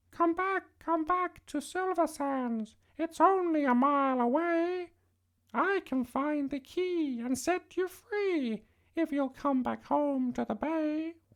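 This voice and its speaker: A put-on character voice, high-pitched and squeaky, at a fairly slow pace. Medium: read story.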